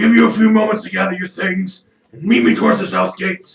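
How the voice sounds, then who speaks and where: A man does a loud, raspy put-on character voice, high in pitch. He talks at a fairly quick pace with lively intonation. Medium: actual play. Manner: gruff, impatient.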